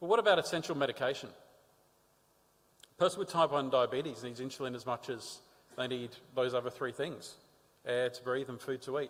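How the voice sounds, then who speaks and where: Spoken with an Australian accent at a fairly quick pace, the voice shows ordinary pitch variation and long, frequent pauses. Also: man, medium pitch for a man. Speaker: patient advocate with type 1 diabetes. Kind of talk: conference talk. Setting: stage with audience.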